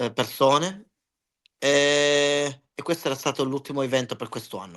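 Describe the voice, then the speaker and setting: A fairly high-pitched man talks at a moderate pace with ordinary pitch variation over a quiet background. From Germany, Italian parents from Calabria. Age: 40s. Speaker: wrestling ring announcer. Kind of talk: casual interview chat. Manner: halting, with self-corrections.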